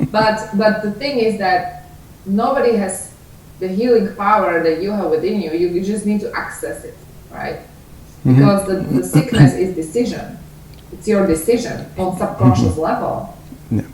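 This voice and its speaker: A woman at a moderate pace with lively intonation and big swings in loudness, over noticeable background noise. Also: medium pitch for a woman. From Slovakia. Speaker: author, attorney. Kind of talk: interview answer.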